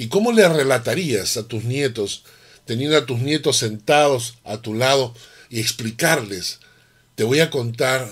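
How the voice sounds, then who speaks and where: A man's fairly slow delivery in an ordinary speaking voice, medium in pitch, with lively intonation. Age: 60s. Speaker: pastor. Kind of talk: sermon.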